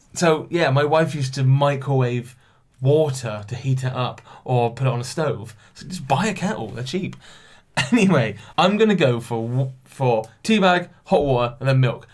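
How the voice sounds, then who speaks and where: A man with a British accent talks at medium pitch and a moderate pace. His voice is somewhat breathy, with lively intonation. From England. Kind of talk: casual podcast talk to camera. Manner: casual, chatty.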